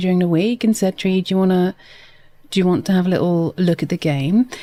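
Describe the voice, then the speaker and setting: A soft-spoken woman with a dark, mellow tone, in a dry, close sound with no echo. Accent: British. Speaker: gaming streamer. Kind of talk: live gameplay stream chat. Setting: live stream.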